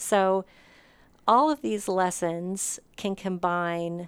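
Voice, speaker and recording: A woman speaks in a normal speaking voice at a medium pitch. Her intonation is fairly even. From Montana. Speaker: museum spokesperson. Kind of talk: interview. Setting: at the museum.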